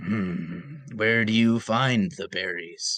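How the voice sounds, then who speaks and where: A man's raspy put-on character voice, medium in pitch, at a very slow pace with lively intonation. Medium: actual play. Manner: stilted, literal, starts with a musing hum.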